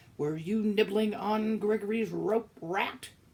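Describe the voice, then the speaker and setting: A woman puts on a booming character voice at a medium pitch. She speaks at a fairly slow pace. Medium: read story. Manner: refers to himself in third person.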